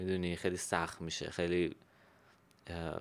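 Over a silent background on a very clean recording, a man speaks at a fairly quick pace. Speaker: podcast host. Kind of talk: casual chat.

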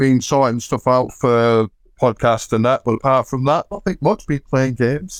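A man with a plain, everyday voice speaks fairly slowly at a fairly high pitch, the sound dry and close with no echo. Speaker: wrestling fan. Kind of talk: casual chat.

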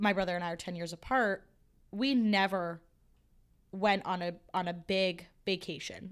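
On a very clean recording with a silent background, a woman speaks at a moderate pace in an ordinary speaking voice, her medium pitch showing ordinary variation. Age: 20s. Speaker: podcast co-host. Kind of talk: casual chat.

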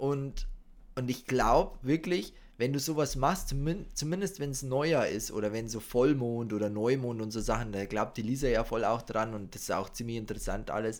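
A normal speaking voice moves at a moderate speed, its pitch varying in an ordinary way. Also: man, medium pitch for a man. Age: 30s. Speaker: podcast co-host. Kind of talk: casual chat. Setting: studio.

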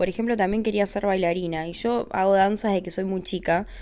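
A woman speaks with a Rioplatense accent. Her pace is fairly quick. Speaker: podcast host. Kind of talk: casual monologue.

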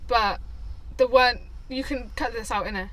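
Over noticeable background noise, a woman's voice carries audible room echo. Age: 20s. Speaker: podcast co-host. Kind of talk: casual chat.

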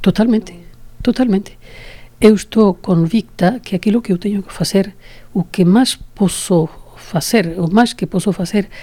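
A somewhat breathy voice with a dark, mellow tone speaks in a Spanish accent. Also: woman. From Spain, Toledo. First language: Spanish (speaking Portuguese). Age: 70s. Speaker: association founder and president. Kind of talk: interview.

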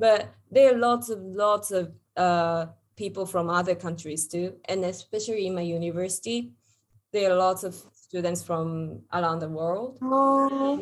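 A woman speaks with a Japanese accent at a medium pitch. Her pace is fairly slow, and her intonation is lively. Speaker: podcast host. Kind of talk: casual chat. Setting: video call.

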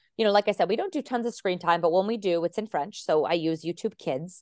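A normal speaking voice from a woman with an American accent, medium in pitch with ordinary variation, at a fairly quick pace, recorded dry and close with no echo against a quiet background. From Arizona, US. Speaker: French teacher and stay-at-home mom, podcaster. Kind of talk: casual interview chat.

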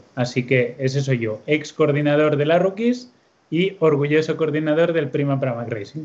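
A man speaks in a normal speaking voice at a fairly high pitch. His pace is moderate and his pitch varies in an ordinary way. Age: 30s. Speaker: motorcycle racing team coordinator. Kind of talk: casual interview chat. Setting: video call.

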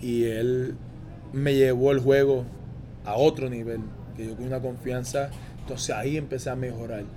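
With audible room echo, a man at medium pitch speaks at a moderate pace in monotone, flat intonation, with long, frequent pauses and big swings in loudness. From Puerto Rico (Aguada, Caguas). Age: 20s. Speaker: professional basketball player. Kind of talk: interview.

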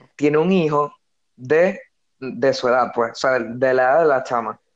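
Speaking at a moderate pace with a Venezuelan accent, a man with a fairly high voice uses ordinary pitch variation over a quiet background. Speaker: podcast co-host. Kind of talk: casual chat. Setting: online call.

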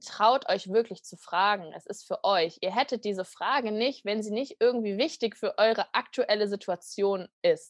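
Speaking at a moderate pace, a woman with an unremarkable speaking voice, a fairly high pitch and ordinary pitch variation shows big swings in loudness, recorded with a dry, close sound with no echo over a quiet background. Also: hardly any pauses. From western Germany, near Düsseldorf. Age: 20s. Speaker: coaching program participant. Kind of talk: podcast interview.

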